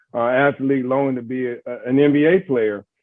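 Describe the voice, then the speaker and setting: Fairly quick and fairly even in intonation, this man speaks with a medium pitch. He has an American accent. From US South, Greensboro, North Carolina. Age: 60s. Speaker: sports executive. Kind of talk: interview. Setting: webinar. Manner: halting, many fillers.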